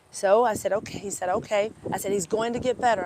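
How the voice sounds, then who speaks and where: Amid noticeable background noise, a woman talks at a fairly quick pace with an American accent. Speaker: animal chiropractor. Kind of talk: casual storytelling live stream. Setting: outdoors, parked by fairgrounds. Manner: animated.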